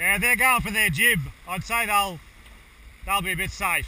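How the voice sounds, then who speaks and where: A man speaks at a moderate pace in a raised, projected voice with ordinary pitch variation, in a dry recording with no echo and light background noise. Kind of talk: crew instructions during a race. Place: boat.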